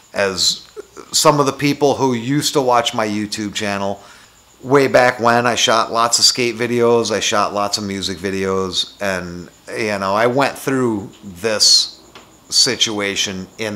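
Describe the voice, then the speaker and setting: A man talks fairly slowly at a medium pitch. Noticeable background noise runs behind him, and his pitch varies in an ordinary way. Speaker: motovlogger. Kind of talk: casual vlog monologue. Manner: casual, hesitant with fillers.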